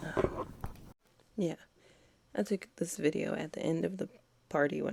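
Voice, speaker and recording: A woman whispering with vocal fry. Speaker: beauty vlogger. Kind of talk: casual voiceover tutorial. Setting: at home.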